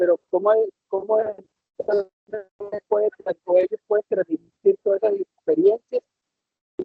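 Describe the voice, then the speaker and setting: A high-pitched man's voice in a Costa Rican accent, with ordinary pitch variation. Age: 60s. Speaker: retiree, webinar participant. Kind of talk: audience question. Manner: halting, many fillers.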